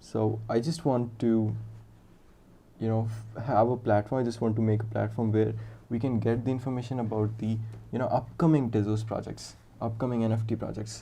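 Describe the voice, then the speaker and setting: With an Indian accent, a man speaks at a fairly quick pace in a medium, somewhat breathy voice of dark, mellow tone, flat and monotone in intonation, with long, frequent pauses and audible room echo. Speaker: software developer streaming live coding. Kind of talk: live coding stream with chat interaction. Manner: casual, thinking aloud with fillers.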